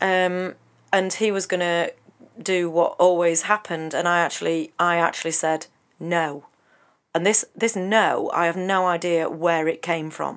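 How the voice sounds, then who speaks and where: A woman speaks with an English accent at a moderate pace. Her pitch is fairly low and her intonation is monotone and flat. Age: 40s. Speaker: counsellor and author. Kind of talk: radio interview. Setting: radio studio.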